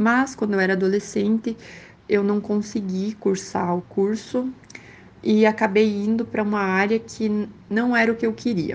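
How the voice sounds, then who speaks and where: A woman at a medium pitch and fairly slow pace, with fairly even intonation. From Brazil, Rio Grande do Sul. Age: 20s. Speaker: medical student and dentist. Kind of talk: interview. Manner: hesitant with fillers.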